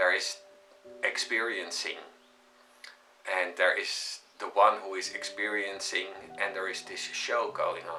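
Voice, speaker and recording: Calm and fairly slow, a man speaks with long, frequent pauses over music in the background. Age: 50s. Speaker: spiritual teacher. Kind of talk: spiritual talk. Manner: halting, many filler sounds; calm, reflective.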